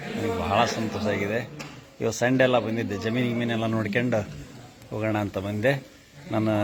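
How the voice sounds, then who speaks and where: The voice has monotone, flat intonation. Audible room echo and noticeable background noise surround it. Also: man, medium pitch for a man. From north Karnataka, India (Davanagere district village). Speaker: vlogger. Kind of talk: casual walkthrough vlog.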